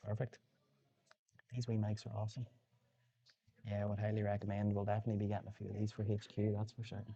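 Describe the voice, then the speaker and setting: Whispering at a very fast pace, a man sounds somewhat breathy and leaves long, frequent pauses. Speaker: pool commentator. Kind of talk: live commentary.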